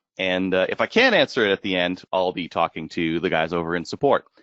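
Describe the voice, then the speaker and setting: Here is a man with a Canadian accent. His pitch is very deep and low. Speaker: marketing executive. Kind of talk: webinar presentation. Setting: online webinar. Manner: fast; hesitant with frequent fillers.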